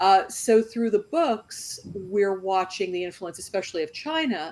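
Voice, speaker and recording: A woman with a plain, everyday voice at a medium pitch and a moderate pace. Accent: American. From US Northeast, New York. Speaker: novelist. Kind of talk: panel discussion.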